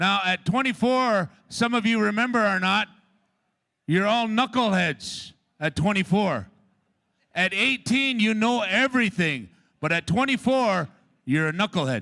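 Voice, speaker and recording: A man with a high pitch talks at a fairly slow pace, leaving long, frequent pauses. His raised, projected voice has a bright, sharp tone and lively intonation on a very clean recording with a silent background. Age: 50s. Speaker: powwow announcer and father of head dancer. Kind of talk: public address at powwow. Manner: animated.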